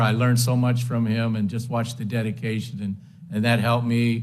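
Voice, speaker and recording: A voice with an American accent speaks at a fairly quick pace, with audible room echo. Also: man. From Western New York (Lakewood). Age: 70s. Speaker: hall of fame inductee, former runner and coach. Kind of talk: acceptance speech. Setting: banquet hall with audience. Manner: halting, many fillers.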